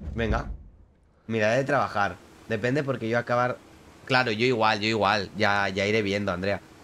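A man speaks at a moderate pace with a fairly low pitch and a bright, sharp tone. His intonation stays fairly even, with long, frequent pauses over light background noise. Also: very even loudness. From Spain. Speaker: gaming streamer. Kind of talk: live gameplay commentary. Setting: live stream. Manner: casual, chatty. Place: home room. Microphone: studio mic.

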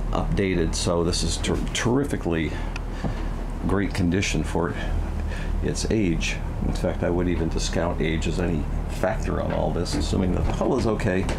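A man pauses often and at length as clear background noise runs underneath. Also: moderate pace. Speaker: boat sales agent. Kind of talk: walkthrough tour commentary. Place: boat. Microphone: phone near.

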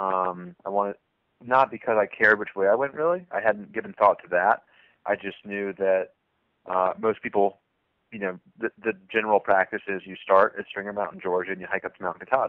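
A man speaks with an American accent at a fairly quick pace, in a normal speaking voice. His pitch is fairly low and his intonation fairly even. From US South, southwestern Virginia. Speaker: thru-hiker. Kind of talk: interview.

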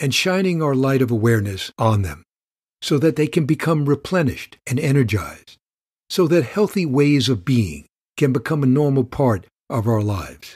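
The voice is somewhat breathy and moves at a moderate pace. The background is quiet. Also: man. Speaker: meditation guide. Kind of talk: guided meditation teaching. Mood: calm, warm. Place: studio.

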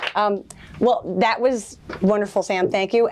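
Noticeable background noise accompanies a woman whose pitch varies in an ordinary way. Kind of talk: public talk to audience. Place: shop.

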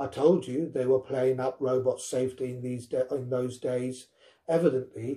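This is an unforced reading voice. It carries the words along plainly.

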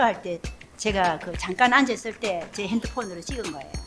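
Music is playing behind the speech. The woman's intonation is lively. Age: 70s. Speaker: senior model. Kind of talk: interview answer.

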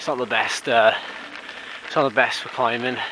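A man talking at a fairly quick pace, dry with no echo, over noticeable background noise. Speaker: cyclist vlogger. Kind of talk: casual vlog chat. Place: bicycle. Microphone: phone near.

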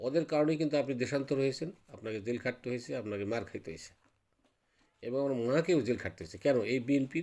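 The man's voice sits at a medium pitch with a dark, mellow tone. His pitch varies in an ordinary way. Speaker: army veteran. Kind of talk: political commentary monologue. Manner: halting.

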